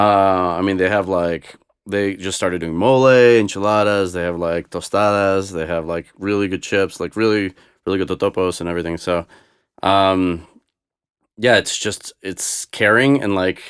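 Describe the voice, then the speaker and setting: A Boston accent at a moderate pace, fairly even intonation, on a very clean recording with a silent background. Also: man, very deep, low pitch for a man. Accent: American (Boston area). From US Northeast (Boston), born in Moscow. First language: Russian. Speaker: DJ. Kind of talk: casual chat.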